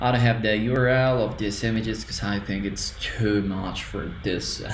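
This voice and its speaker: Over noticeable background noise and audible room echo, a man with a medium-pitched voice speaks at a moderate pace. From Colombia. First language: Spanish. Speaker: student. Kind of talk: tutorial. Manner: halting.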